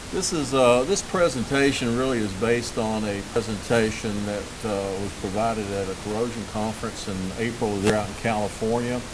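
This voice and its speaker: A man with a North Carolina accent at a medium pitch and moderate pace, ordinary pitch variation, noticeable background noise and audible room echo. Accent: Southern US (North Carolina). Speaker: management consultant presenting at a conference. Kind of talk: conference presentation. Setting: conference with live audience. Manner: halting, many fillers.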